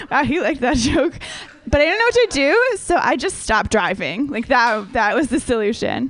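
A woman's high voice with an American accent and very wide pitch swings, fairly quick, over noticeable background noise. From Minnesota. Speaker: stand-up comedian. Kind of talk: stand-up. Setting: stage with audience.

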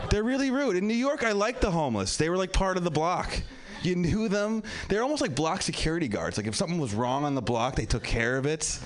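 Over noticeable background noise, a man with a high pitch talks at a very fast pace with very wide pitch swings and very even loudness. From Pennsylvania. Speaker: comedian. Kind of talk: stand-up. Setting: stage with audience.

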